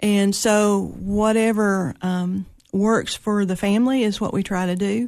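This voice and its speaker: A woman with a Tennessee accent talks at a fairly slow pace and a medium pitch. Her intonation is fairly even, and the background is quiet. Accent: Southern US (Tennessee). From Tennessee, Putnam County (Monterey). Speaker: funeral home owner. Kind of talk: interview.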